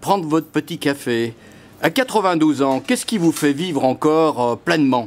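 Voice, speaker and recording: Here is an unremarkable speaking voice. It moves at a moderate pace with very even loudness. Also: man, fairly high pitch for a man. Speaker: interviewer, journalist. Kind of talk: interview questions.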